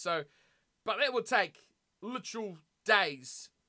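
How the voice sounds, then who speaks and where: An animated tone in a New Zealand accent, captured in a very clean recording with a silent background. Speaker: gaming streamer. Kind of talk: casual livestream chat while playing a game. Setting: livestream, home studio. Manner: animated, chatty.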